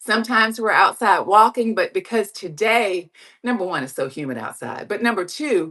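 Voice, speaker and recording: A woman's fairly high, bright, sharp voice carries vocal fry and lively intonation at a moderate pace. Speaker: online reseller and livestream host. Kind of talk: casual livestream chat. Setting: indoors on exercise bike, livestream.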